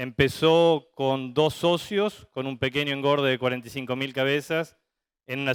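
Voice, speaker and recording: In a normal speaking voice, a man talks at a moderate pace with a fairly high pitch and fairly even intonation, the sound dry and close with no echo on a very clean recording with a silent background. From Argentina, Santa Fe (litoral). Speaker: veterinarian, livestock industry manager. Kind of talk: conference talk.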